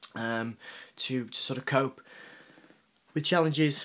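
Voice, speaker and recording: A man speaks at a medium pitch with a Yorkshire accent. His intonation stays fairly even. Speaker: journalist and magazine founder. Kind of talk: interview answer. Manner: halting, many repetitions.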